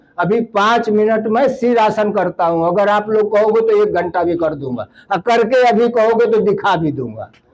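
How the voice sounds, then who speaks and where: With hardly any pauses, a man talks in a high pitch with ordinary pitch variation against noticeable background noise. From eastern Uttar Pradesh, Mau district. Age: 60s. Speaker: land donor for education, community speaker. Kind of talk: public speech.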